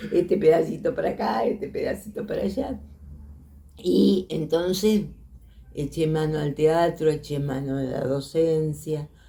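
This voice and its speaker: Her very deep, low voice has a dark, mellow tone and vocal fry, as this woman speaks fairly slowly with lively intonation. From Argentina, Santa Fe province. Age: 80s+. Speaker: filmmaker and teacher. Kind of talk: interview testimony. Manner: halting.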